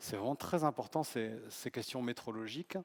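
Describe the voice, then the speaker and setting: A man speaks at a medium pitch with ordinary rise and fall. The sound is dry and close, with no echo. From south-west France. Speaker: professor of medical informatics and biostatistics. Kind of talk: humorous conference talk. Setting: conference stage with audience.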